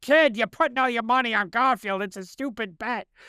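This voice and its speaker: A put-on character voice, gruff and fairly high in pitch, moves at a fairly quick pace. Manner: angry, gruff, scolding.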